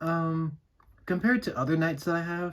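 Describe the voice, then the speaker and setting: A man speaks at a moderate pace in a somewhat breathy voice. The recording is very clean, with a silent background. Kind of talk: casual toy review to camera. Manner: casual, hesitant.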